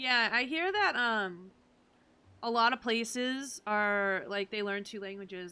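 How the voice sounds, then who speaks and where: Speaking with a Massachusetts accent, a woman has a fairly high pitch and ordinary pitch variation. Her tone is bright and sharp. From Massachusetts, US. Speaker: video game streamer. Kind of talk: casual live-stream chat.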